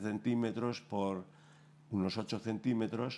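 Speaking with a dark, mellow tone, a man uses a fairly low pitch and ordinary pitch variation. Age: 70s. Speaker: painter; guest. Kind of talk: interview. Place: studio.

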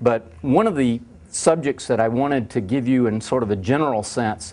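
A man in a Southern US accent with ordinary pitch variation. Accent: Southern US (Georgia). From US South, Georgia. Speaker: university international programs director. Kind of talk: lecture. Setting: stage with audience. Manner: halting, frequent repetitions and fillers. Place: classroom.

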